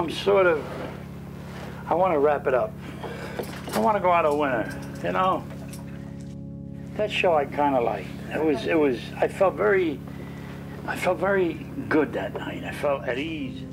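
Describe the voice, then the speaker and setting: A man with a North Jersey accent, fairly high pitch, lively intonation, a moderate pace, long and frequent pauses, and music in the background. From Jersey City, New Jersey. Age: 70s. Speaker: nightclub and wedding singer, retired bus driver. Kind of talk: interview answer.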